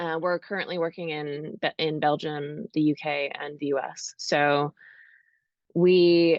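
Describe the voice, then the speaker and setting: Very deep and low for a woman, her voice carries a North American accent and fairly even intonation. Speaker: architecture robotics founder. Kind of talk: panel discussion.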